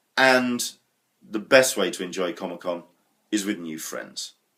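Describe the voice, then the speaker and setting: A man with a British accent at a very slow pace. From England. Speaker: vlogger. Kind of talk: vlog monologue. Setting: home kitchen. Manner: casual, chatty.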